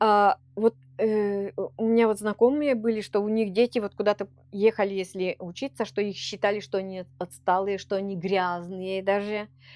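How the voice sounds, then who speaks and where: In a Perm Krai accent, the speaker keeps fairly even intonation and a moderate pace, recorded with a dry, close sound and no echo. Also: woman, medium pitch for a woman. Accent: Komi-Permyak accent in Russian. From Komi-Permyak area, Perm Krai, Russia. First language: Komi-Permyak (speaking Russian). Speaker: Komi-Permyak culture bearer. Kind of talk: interview. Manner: halting, with many false starts.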